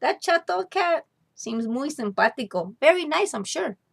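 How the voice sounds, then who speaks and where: This woman uses a put-on character voice, high-pitched for a woman, with very wide swings in pitch. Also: moderate pace. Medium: read story.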